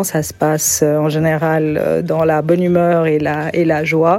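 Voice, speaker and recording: Speaking at a very slow pace, a woman with a fairly low voice keeps her intonation fairly even against noticeable background noise. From Geneva, Switzerland. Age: 50s. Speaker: local resident. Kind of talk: testimony.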